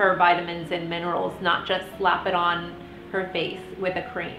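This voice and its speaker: Against noticeable background noise, a woman speaks at a moderate pace and a medium pitch. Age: 30s. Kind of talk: casual talk to camera.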